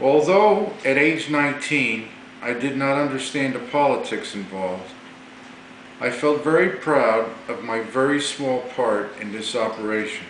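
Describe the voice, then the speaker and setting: Amid noticeable background noise and audible room echo, a man with an American accent speaks fairly slowly at a medium pitch. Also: lively intonation. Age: 60s. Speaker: navy veteran. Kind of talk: political monologue. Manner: formal.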